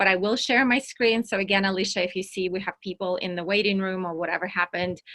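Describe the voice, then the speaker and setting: A woman with a Russian accent speaks fairly quickly in a bright, sharp tone with fairly even intonation, the sound dry and close with no echo over a quiet background. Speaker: entrepreneur and workshop speaker. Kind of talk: online workshop presentation.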